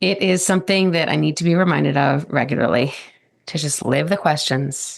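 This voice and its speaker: A woman is speaking. Her voice has vocal fry. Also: quiet background. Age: 40s. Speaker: podcast guest sharing personal story. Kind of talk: conversational interview.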